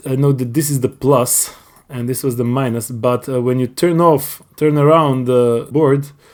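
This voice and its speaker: A man talks at a medium pitch. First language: not English. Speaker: hobbyist YouTuber. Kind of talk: tutorial. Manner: halting.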